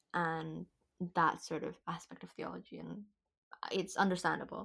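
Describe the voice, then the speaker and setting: A woman's bright, sharp tone at a moderate pace. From Indonesia. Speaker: university student podcast host. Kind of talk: casual chat. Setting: video call. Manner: animated.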